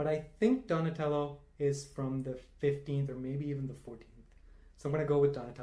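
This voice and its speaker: Speaking fairly quickly with a Tamil accent, a man with a fairly high pitch has a dark, mellow, somewhat breathy tone and fairly even intonation, with audible room echo around him. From India (Tamil-speaking). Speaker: quiz enthusiast. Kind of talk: casual chat.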